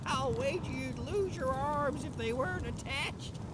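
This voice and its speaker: A put-on character voice moves at a moderate pace over loud background noise. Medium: machinima. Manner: warm, chuckling, doting.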